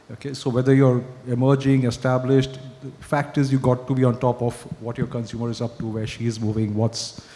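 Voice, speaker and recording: Over noticeable background noise, a man talks very fast in a monotone, flat delivery. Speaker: advertising strategy executive. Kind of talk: panel discussion.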